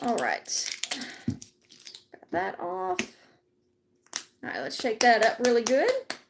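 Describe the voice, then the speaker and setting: At a very slow pace, a woman with a fairly high pitch speaks with lively intonation and long, frequent pauses. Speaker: craft livestreamer. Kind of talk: casual livestream crafting chat. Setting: live stream.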